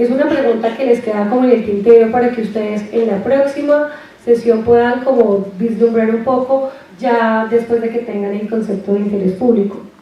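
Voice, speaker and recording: Audible room echo and noticeable background noise sit around this recording. A woman speaks at a fairly high pitch with fairly even intonation. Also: moderate pace. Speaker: university lecturer. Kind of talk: lecture. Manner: soft-spoken.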